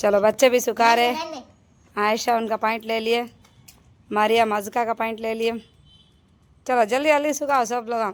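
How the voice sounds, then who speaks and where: Intonation stays fairly even, broken by long, frequent pauses. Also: woman, fairly high pitch for a woman. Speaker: family vlogger, homemaker. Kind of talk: casual vlog narration. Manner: loud.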